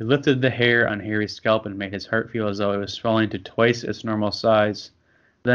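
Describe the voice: The text is given as plain reading aloud. Its intonation holds fairly even.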